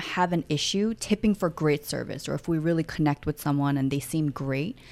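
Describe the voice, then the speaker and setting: With an unremarkable speaking voice, a woman talks at a fairly quick pace with lively intonation in a very clean recording with a silent background. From United States (Korean-born, moved at five). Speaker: podcast co-host, mother. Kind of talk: casual chat.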